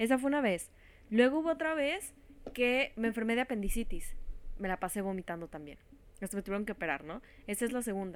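This woman speaks very fast in a Mexican accent, with a fairly high pitch and very wide pitch swings. Her speech is broken by long, frequent pauses. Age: 20s. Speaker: podcast co-host. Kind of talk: casual chat.

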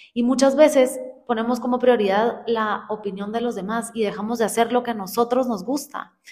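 Using a plain, everyday voice, a woman speaks at a moderate pace and fairly high pitch with fairly even intonation. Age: 20s. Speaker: podcast co-host. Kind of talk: casual chat.

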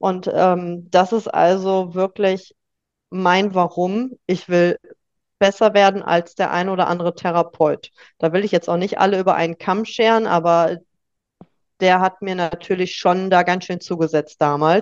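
A woman talks at a fairly slow pace in a medium pitch, her intonation monotone and flat. The sound is dry and close, with no echo. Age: 30s. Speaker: life coach and bakery owner. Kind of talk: interview, personal storytelling.

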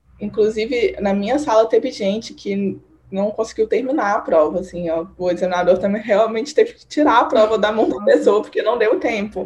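Her loudness swinging widely, a woman speaks at a fairly high pitch over noticeable background noise. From Minas Gerais, Brazil (Divinópolis). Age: 20s. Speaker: medical student. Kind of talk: casual interview. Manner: fast.

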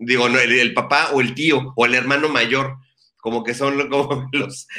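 A man talks at a fairly slow pace with a bright, sharp tone. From Mexico, Ensenada. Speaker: online show host. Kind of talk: interview. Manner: halting.

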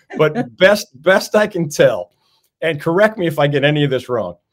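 This man has an unremarkable speaking voice pitched fairly high. His intonation is lively. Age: 50s. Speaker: sports talk show host. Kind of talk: interview.

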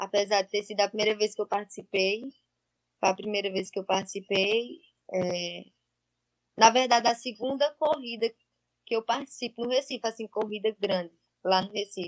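At a moderate pace and fairly high pitch, a woman speaks with ordinary pitch variation and long, frequent pauses, the sound dry and close with no echo. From Paraíba, Brazilian Northeast (Monteiro). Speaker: athlete. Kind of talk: interview. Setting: live stream.

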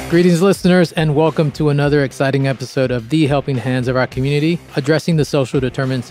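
A man's fairly high voice at a very fast pace, with music in the background. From Manhattan, New York. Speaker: podcast host. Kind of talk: casual interview. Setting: studio.

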